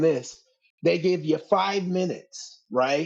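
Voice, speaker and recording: This man's voice sits high in pitch, with ordinary pitch variation, as he talks at a fairly slow pace. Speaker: stand-up comedian. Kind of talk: casual chat.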